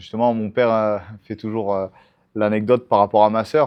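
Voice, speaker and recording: A man's fairly low-pitched voice in a monotone, flat intonation. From southern France (Montpellier area, Hérault). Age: 30s. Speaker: MMA fighter and coach. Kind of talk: interview. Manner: hesitant, many fillers.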